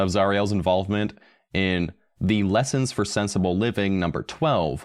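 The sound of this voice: This is an unforced reading voice. The words are read aloud in it.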